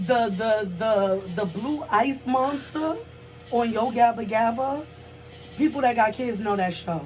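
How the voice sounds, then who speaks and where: A woman's fairly high, fairly slow voice with lively intonation, amid audible room echo and noticeable background noise. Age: 20s. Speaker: podcast co-host. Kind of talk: casual chat. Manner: animated.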